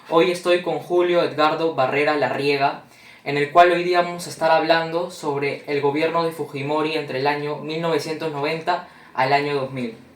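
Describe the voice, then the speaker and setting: A man's fairly high, flat, monotone voice over noticeable background noise. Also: moderate pace. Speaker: university student interviewer. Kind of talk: interview. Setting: at home.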